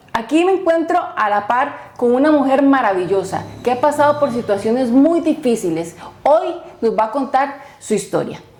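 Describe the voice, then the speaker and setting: With music in the background and audible room echo, a woman speaks at a moderate pace in a high voice whose pitch swings very widely while her loudness stays very even. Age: young. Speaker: podcast host. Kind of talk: podcast interview intro.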